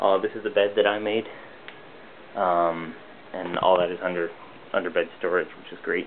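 A man with a very deep, low voice speaks at a moderate pace with fairly even intonation, long and frequent pauses, and light background noise. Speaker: entry-level web designer. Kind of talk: casual video tour narration. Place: home room. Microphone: phone near.

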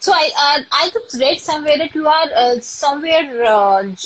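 A woman with an Indian accent speaks at a moderate pace. Her voice sits high and swings very widely in pitch. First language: Hindi. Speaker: live stream host. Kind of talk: casual live interview. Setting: live video call. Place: home room. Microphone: phone near.

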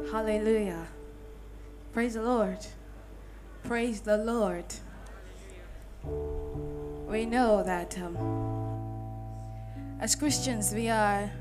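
Over clear music in the background, a woman speaks at a very slow pace with long, frequent pauses. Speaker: spoken word poet. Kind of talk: greeting to a live audience. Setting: live church event. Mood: warm, devotional. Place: church. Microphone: handheld.

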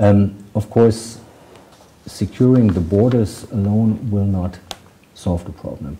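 A man with a German accent, fairly low in pitch, at a very slow pace with long, frequent pauses, fairly even intonation and light background noise. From Germany. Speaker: ambassador; interviewee. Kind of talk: interview. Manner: hesitant, many fillers. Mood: calm, measured. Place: office.

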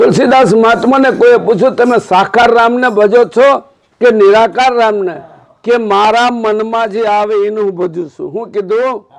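Pitched high for a man, his speech shows ordinary pitch variation. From Gujarat, Saurashtra (Botad). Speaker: spiritual preacher. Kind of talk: sermon.

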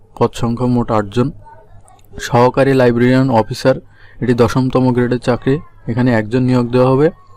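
The voice stays flat and monotone, with very even loudness throughout. Noticeable background noise runs underneath. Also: man, medium pitch for a man. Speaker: job news YouTuber. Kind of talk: informational video explainer.

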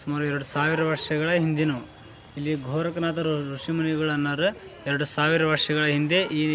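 In a room with audible echo and noticeable background noise, a man talks at a fairly high pitch with monotone, flat intonation. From North Karnataka (Haveri area). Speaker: religious studies student at a monastery. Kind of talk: interview.

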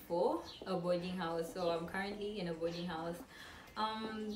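Clear music plays in the background as a woman speaks at a moderate pace with ordinary pitch variation. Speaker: university student vlogger. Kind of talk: casual vlog chat. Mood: relaxed, a little giggly. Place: home room. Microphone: camera far.

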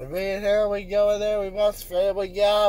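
The recording of a man's voice is dry, with no echo. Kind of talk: casual vlog chat. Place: car. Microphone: phone near.

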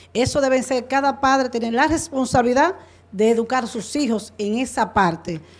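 Her pitch shifts in an ordinary way. This woman keeps to a moderate pace. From Dominican Republic, Duarte province; Dominican Republic. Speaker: political candidate; candidate. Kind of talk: political debate. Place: studio. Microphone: handheld.

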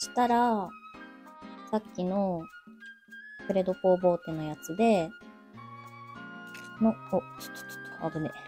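A soft-spoken woman talks at a moderate pace with ordinary pitch variation, big swings in loudness, long, frequent pauses, and faint music in the background. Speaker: makeup vlogger. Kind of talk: casual makeup vlog talk to camera. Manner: quiet, soft-spoken. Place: home room. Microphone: webcam.

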